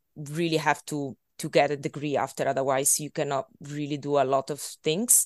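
A woman speaks with an Italian accent at a very deep, low pitch. The sound is dry and close with no echo, over a quiet background. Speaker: journalism student, co-host. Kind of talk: casual chat. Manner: halting, many fillers.

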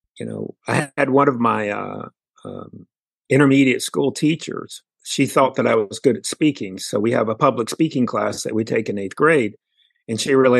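With a Southern US accent, a man speaks in a dry, close sound with no echo. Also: moderate pace. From rural North Carolina, US South. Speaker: author and prejudice reduction trainer. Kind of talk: interview.

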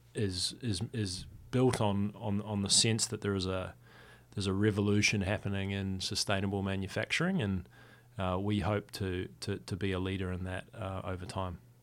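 A moderate pace and monotone, flat intonation in a New Zealand accent, on a very clean recording with a silent background. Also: man. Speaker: company founder. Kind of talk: interview. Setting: studio. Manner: laid-back.

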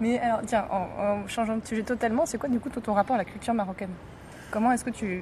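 This woman talks at a very fast pace with fairly high pitch. Her intonation stays fairly even. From Morocco. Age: young. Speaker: podcast host. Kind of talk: casual chat. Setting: outdoors, hotel terrace.

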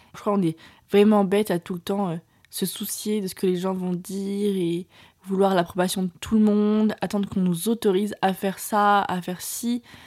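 In a very clean recording with a silent background, the voice keeps a moderate pace and a monotone, flat intonation. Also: woman, medium pitch for a woman. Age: 20s. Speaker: podcast host, entrepreneur. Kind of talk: solo monologue podcast. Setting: at her parents' home. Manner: casual, filler-heavy.

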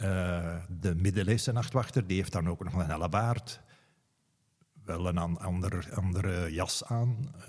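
Speech comes at a fairly slow rate. The voice moves up and down by an ordinary amount. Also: man, very deep, low pitch for a man. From Flemish Brabant, Belgium (Meensel, Hageland). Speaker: city guide and storyteller. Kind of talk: interview, storytelling.

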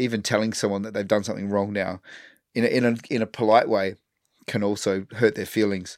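This man has a fairly low pitch, an Australian accent and fairly even intonation. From Western Australia. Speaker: chef and restaurateur. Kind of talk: casual chat.

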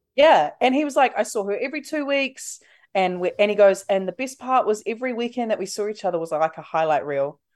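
A woman with a New Zealand accent talks at a very fast pace, her fairly high voice making very wide pitch swings, in a very clean recording with a silent background. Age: 20s. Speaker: breakfast radio host. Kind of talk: casual interview chat.

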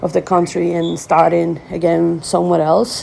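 A woman with a Spanish accent. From Venezuela. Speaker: business owner. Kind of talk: personal testimony.

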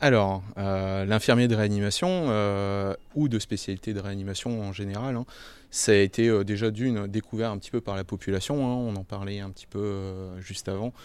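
In a very clean recording with a silent background, a man with a fairly low pitch and an unremarkable speaking voice talks at a moderate pace with fairly even intonation. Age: 30s. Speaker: intensive care nurse. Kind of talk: interview.

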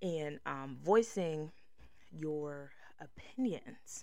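A woman speaks loudly in an animated tone, her very deep, low pitch showing ordinary variation. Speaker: podcast host. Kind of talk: casual solo podcast monologue. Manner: loud, animated.

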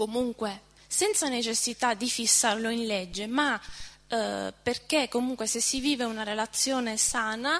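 A woman speaks fairly slowly with a fairly high pitch. Noticeable noise sits in the background. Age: 20s. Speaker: seminar participant. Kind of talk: audience question. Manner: halting.

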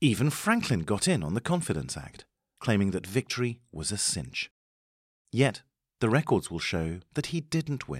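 A man speaks at a moderate pace with a fairly low pitch and vocal fry. His tone is dramatic, and his pitch swings very widely. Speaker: racing historian and podcast host. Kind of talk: scripted documentary narration, storytelling about racehorse history. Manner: measured, polished, brisk storyteller, wry and dramatic at the big moments.

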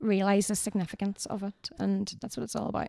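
Very clean and set against a silent background, the recording captures a woman with a Northern Irish accent. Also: dry, close sound with no echo. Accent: Derry Northern Irish. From Northern Ireland, Derry. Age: 30s. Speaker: tour guide. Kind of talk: casual chat.

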